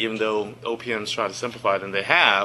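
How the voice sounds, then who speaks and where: Noticeable background noise sits behind the speaker. A man at medium pitch talks with fairly even intonation. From grew up in Lynchburg, Virginia (US South), immigrant child. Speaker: government executive, presenter. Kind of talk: presentation. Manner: conversational, many fillers and restarts.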